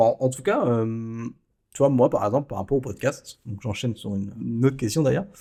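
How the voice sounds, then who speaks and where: This man talks at a fairly quick pace. His tone is dark and mellow, at a medium pitch. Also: ordinary pitch variation. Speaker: podcast host and photographer. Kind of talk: casual interview chat.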